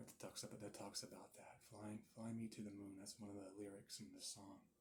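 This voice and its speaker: A soft-spoken man's fairly low, somewhat breathy voice with a dark, mellow tone. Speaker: ASMR creator. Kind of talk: ASMR session, soft-spoken talk to camera. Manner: soft-spoken, calming.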